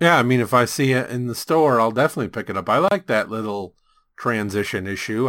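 On a very clean recording with a silent background, a man with a plain, everyday voice talks at a fairly quick pace, medium in pitch, with lively intonation. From US West Coast (California). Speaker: comic book podcast host. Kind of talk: casual chat.

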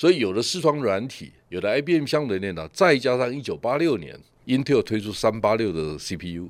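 A man with a Taiwanese accent talks at a moderate pace and medium pitch, barely pausing, his pitch swinging very widely and his loudness rising and falling sharply, on a very clean recording with a silent background. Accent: Taiwanese Mandarin. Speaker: tech industry commentator, show host. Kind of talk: casual chat.

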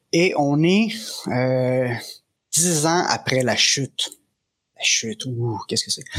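A Quebec accent at a very slow pace, with lively intonation, very even loudness, and long, frequent pauses. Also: man, fairly high pitch for a man. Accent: Québécois French. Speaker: game master. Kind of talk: tabletop role-playing game narration.

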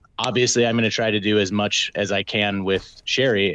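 A man's unremarkable speaking voice, medium in pitch, with an American accent, at a moderate pace. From Minnesota. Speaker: gin company sales director. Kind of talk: casual chat.

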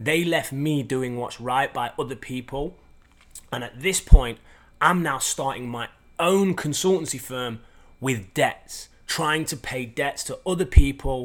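Fairly high in pitch with ordinary variation, a man talks at a fairly slow pace. The recording is very clean, with a silent background. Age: 30s. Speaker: podcast host and performance coach. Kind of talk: motivational monologue. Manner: energetic.

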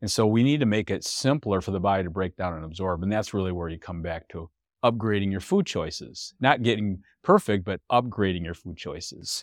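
In a very clean recording with a silent background and a dry, close sound with no echo, a man speaks fairly quickly in a fairly low pitch with ordinary pitch variation, big swings in loudness, and an unremarkable speaking voice. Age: 60s. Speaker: health and wellness expert. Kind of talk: interview.

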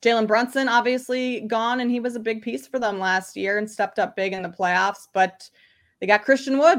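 A woman with a slight Midwestern US accent speaks at a moderate pace in a fairly high pitch with ordinary pitch variation, on a very clean recording with a silent background. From Minnesota, US Midwest. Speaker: sports bettor, guest analyst. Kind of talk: casual interview chat.

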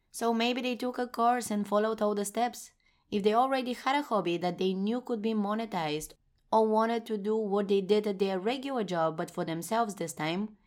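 In a Bulgarian accent, a woman with a fairly high pitch talks at a fairly quick pace with ordinary pitch variation, on a very clean recording with a silent background. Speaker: podcast host and blogger. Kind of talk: solo podcast monologue.

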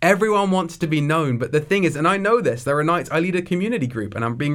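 The speaker is a man with a fairly high pitch. He talks very fast. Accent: southern English. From southeast England, near Brighton. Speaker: young adults pastor. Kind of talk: interview conversation.

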